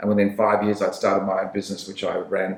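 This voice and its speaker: A man is speaking. He has an Australian accent. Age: 60s. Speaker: sales trainer. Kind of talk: podcast interview. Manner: casual, with frequent fillers.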